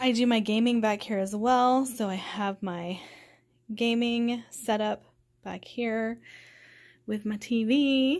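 In an American accent, a woman speaks at a very slow pace with fairly even intonation and long, frequent pauses. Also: quiet background. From Oklahoma, US (Tulsa); Oklahoma. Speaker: book youtuber. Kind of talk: casual home video tour. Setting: at home. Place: home room. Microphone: phone near.

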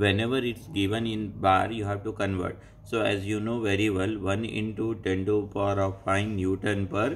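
A man with a fairly low pitch talks in a monotone, flat intonation at a moderate pace. He leaves hardly any pauses over light background noise. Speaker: engineering teacher. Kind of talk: tutorial. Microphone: phone near.

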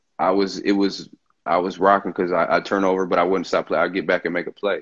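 Against a quiet background, a man with an American accent speaks with a very deep, low pitch. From Michigan (Bay City); Michigan. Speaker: former basketball player; guest. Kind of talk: casual interview chat. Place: home room. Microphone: video call.

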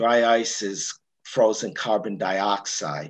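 Over a quiet background, a man talks with a fairly low pitch. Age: 60s. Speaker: astronomy presenter; presenter. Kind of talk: lecture. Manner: halting. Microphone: video call.

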